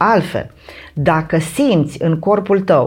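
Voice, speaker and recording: A woman talks with lively intonation. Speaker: mental training instructor and meditation creator. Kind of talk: casual chat. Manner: halting.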